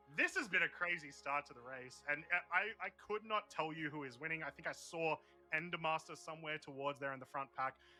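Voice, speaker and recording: Over music in the background, a man with an Australian accent talks at a fairly high pitch and fairly quick pace, with ordinary pitch variation and big swings in loudness. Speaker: race commentator. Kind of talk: live commentary. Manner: animated.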